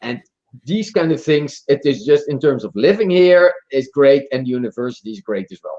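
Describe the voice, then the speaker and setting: The sound is dry and close, with no echo. A man with a Dutch accent speaks with a fairly high pitch and a dark, mellow tone. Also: lively intonation, moderate pace. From Netherlands. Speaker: marketing professor and author. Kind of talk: podcast interview. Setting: live stream.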